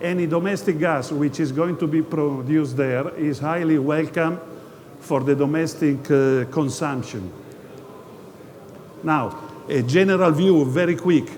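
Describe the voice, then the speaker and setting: Speaking with an Italian accent, a man with fairly high pitch goes at a fairly slow pace, with long, frequent pauses and ordinary pitch variation, amid noticeable background noise and audible room echo. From Italy. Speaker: geologist, company presenter. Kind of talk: investor presentation. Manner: halting, many hesitations.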